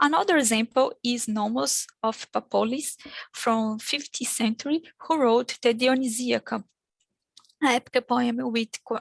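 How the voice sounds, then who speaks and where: Spoken at a fairly slow pace with a Brazilian accent, the voice has ordinary pitch variation and a dry, close sound with no echo. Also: woman, high pitch for a woman. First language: Portuguese. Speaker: academic conference speaker. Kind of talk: conference presentation. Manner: halting.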